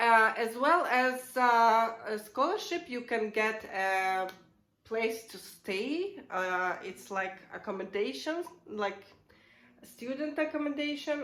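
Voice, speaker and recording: With audible room echo, a woman with a Russian accent speaks at a fairly slow pace and a fairly high pitch, using lively intonation. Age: 30s. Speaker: vlogger. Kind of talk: casual explainer vlog. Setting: at home. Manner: halting, many fillers.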